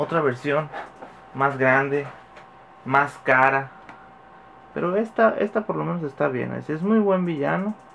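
A man with a Mexican accent, fairly high-pitched and fairly slow, with long, frequent pauses over light background noise. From Mexico. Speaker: YouTuber, toy unboxing; YouTuber. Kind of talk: casual vlog unboxing. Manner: animated. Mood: joking, relaxed, swears casually. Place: home room. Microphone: phone near.

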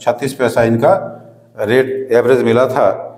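A man's fairly slow delivery. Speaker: tea business teacher. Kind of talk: lecture. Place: studio. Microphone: lapel.

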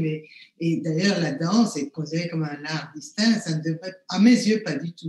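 With audible room echo, a woman speaks at a fairly low pitch and ordinary pitch variation. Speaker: neuroscience professor. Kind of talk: panel discussion. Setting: video call. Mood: calm, thoughtful. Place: home room. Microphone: webcam.

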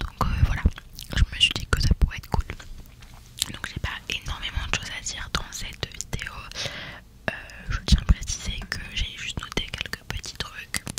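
A woman whispers at a moderate pace, with long, frequent pauses between phrases. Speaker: makeup content creator. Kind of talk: soft casual tutorial chat. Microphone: studio mic.

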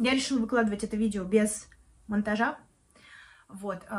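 Somewhat breathy, a woman speaks at medium pitch. Her intonation is fairly even. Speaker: video blogger and project manager. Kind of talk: casual vlog monologue. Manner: casual with many fillers.

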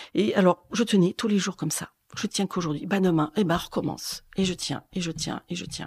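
A woman talks at a fairly slow pace. The sound is dry and close with no echo, on a very clean recording with a silent background. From France, Corrèze (Brive-la-Gaillarde). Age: 60s. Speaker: schoolteacher. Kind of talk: testimony. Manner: halting, many hesitations and repetitions.

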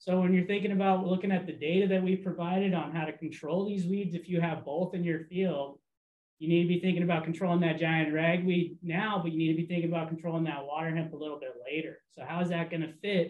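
Talking at a very fast pace, a man uses a high pitch and monotone, flat intonation. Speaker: weed science outreach specialist. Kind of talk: research presentation. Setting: video call. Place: office.

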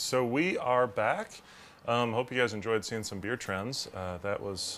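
A man has an unremarkable speaking voice with ordinary pitch variation. He talks at a moderate pace over light background noise. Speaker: video producer and show host; show host. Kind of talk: casual chat. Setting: outdoors.

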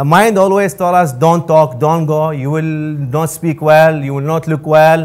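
A man with an Arabic accent speaks fairly slowly at a fairly high pitch, keeping his intonation fairly even. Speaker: student giving a motivational talk. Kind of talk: motivational pep talk to a live audience. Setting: stage with audience. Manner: earnest, encouraging; halting, non-native grammar. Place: hall. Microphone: lapel.

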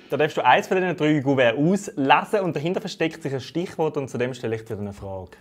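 Music in the background behind a man at a fairly quick pace, fairly high in pitch, with lively intonation. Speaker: talk show host. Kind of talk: casual interview questions. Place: studio. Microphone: lapel.

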